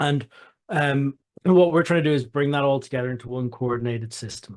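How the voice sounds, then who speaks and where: A man with an Irish accent talks at a fairly quick pace. His pitch variation is ordinary, and the background is quiet. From Ireland, Dublin. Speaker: software company founder and CEO. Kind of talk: product demonstration. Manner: halting, many repeated words.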